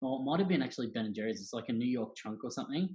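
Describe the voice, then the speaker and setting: Ordinary pitch variation with an Australian accent. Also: man. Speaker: church young adults director. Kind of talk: casual interview chat. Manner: loud.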